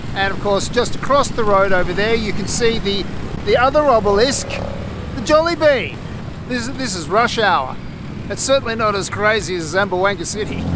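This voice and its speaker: A man with a high pitch and lively intonation talks at a moderate pace, the sound dry with no echo and noticeable background noise behind him. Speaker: travel vlogger. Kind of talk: casual vlog chat. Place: street. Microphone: phone near.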